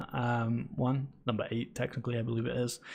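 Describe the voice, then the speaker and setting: A man with a British accent talks at a moderate pace and a medium pitch against a quiet background. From Britain. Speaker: esports podcast host. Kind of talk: casual chat. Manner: halting, many fillers.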